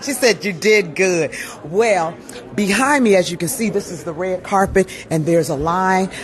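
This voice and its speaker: A woman speaks in an animated tone. Noticeable background noise can be heard. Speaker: PR agency owner and event host. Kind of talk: live event coverage. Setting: red carpet at a live fashion show.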